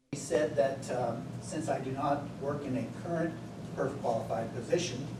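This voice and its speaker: A man speaks in a somewhat breathy voice at medium pitch. Audible room echo surrounds him. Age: 60s. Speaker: retired county worker requesting benefits. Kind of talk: public meeting request. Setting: county commissioners meeting.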